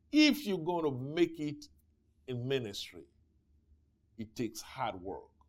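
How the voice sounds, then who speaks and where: The man talks at a fairly slow pace, leaving long, frequent pauses. His loudness swings widely. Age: 60s. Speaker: pastor. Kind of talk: Bible study teaching. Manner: animated.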